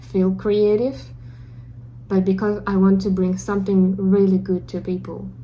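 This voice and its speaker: A woman speaks with a Russian accent at a fairly slow pace. Audible room echo can be heard. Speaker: beginner game developer vlogger. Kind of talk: personal video diary.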